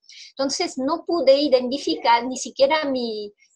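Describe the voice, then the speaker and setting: Someone with a French accent talks at a fairly slow pace, using lively intonation. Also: woman. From Belgium. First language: French (speaking Spanish). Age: 40s. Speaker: interviewee sharing health testimony. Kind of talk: testimony. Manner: halting, with repetitions.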